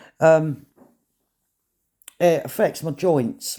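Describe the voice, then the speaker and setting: A man's dark, mellow voice with a British accent, on a very clean recording with a silent background. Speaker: vlogger. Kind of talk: casual vlog monologue. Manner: halting.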